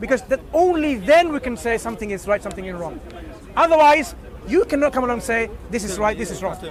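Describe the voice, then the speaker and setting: A man with a non-native accent, extremely high in pitch, with lively intonation and a very fast pace amid crowd noise in the background. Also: big swings in loudness. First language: not English. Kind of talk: street dawah discussion.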